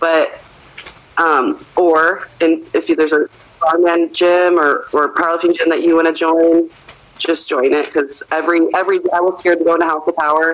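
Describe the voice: A woman's low pitch at a moderate pace, with little pitch movement.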